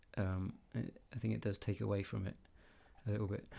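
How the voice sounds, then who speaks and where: The very clean recording, with a silent background, features a man with an English accent. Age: 30s. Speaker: podcast co-host. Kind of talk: casual chat.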